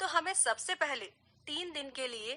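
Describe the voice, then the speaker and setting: A woman speaks in a raised, projected voice with a bright, sharp tone. Her pitch variation is ordinary. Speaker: voice over artist, radio presenter. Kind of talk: radio talk show segment.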